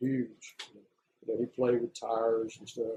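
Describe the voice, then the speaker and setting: With an American accent, the voice is dark, mellow and somewhat breathy at a moderate pace. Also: man. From US South, Florida (Bradenton). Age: 70s. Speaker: oral history interviewee. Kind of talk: oral history interview. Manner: casual storytelling.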